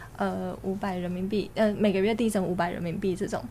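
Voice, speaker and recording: A woman's medium-pitched voice, dark and mellow in tone, with vocal fry and fairly even intonation. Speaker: online gambling industry worker. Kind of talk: casual chat.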